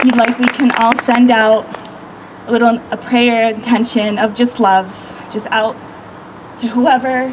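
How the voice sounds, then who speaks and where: Over noticeable background noise, a woman with a fairly high pitch speaks at a moderate pace in a calm, soothing tone with monotone, flat intonation. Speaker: meditation guide, energy healer. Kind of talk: guided meditation and spiritual talk to a crowd. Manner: calm, soothing, earnest.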